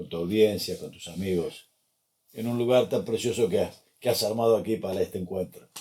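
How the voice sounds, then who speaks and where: A man with an Argentine accent speaks at a moderate pace and medium pitch, in a dark, mellow tone. His pitch varies in an ordinary way, while his loudness swings widely. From Argentina, Buenos Aires. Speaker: life and business coach. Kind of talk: interview.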